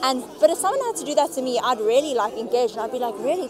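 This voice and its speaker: A woman talks at a very fast pace in a high voice. Room echo is audible, with crowd noise behind her. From South Africa. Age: 20s. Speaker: recent graduate. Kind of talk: street interview. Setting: outdoors. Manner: casual.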